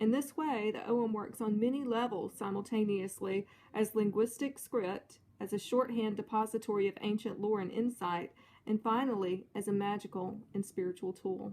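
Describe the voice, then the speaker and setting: Speaking at a moderate pace, a woman has a fairly high pitch, a dark, mellow tone and fairly even intonation. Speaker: pagan practitioner vlogger. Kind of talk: reading aloud from a book; casual show-and-tell vlog. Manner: hesitant, many fillers.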